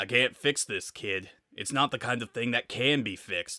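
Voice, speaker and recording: This man puts on a raspy character voice at a medium pitch. He talks at a moderate pace. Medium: read story. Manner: low, weary, casual speech.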